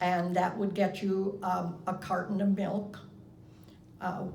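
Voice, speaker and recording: With an American accent, a woman talks at a fairly slow pace in a medium pitch, with audible room echo and noticeable background noise. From US Midwest, Iowa. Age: 80s+. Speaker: interviewee recalling her life. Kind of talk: oral history interview.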